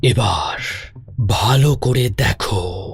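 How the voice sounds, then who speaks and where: A man's cartoonish character voice at a medium pitch. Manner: solemn, instructive.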